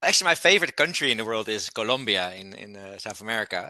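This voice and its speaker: A man with a Dutch accent, medium-pitched, with a bright, sharp tone. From Netherlands. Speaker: company founder and CEO. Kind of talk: interview podcast.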